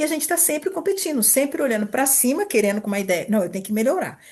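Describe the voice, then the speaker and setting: A woman's voice swings very widely in pitch as she talks. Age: 60s. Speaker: therapist / coach running an institute. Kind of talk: informal talk answering a group question. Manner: conversational, with hesitations and repetitions.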